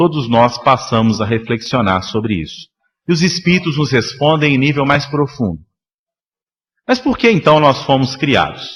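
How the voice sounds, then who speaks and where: Talking at a moderate pace, a man with a Minas Gerais accent has a medium pitch, ordinary pitch variation and a somewhat breathy voice. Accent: Minas Gerais (mineiro). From Minas Gerais, Brazil. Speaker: spiritist lecturer. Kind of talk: lecture. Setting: spiritist center public meeting.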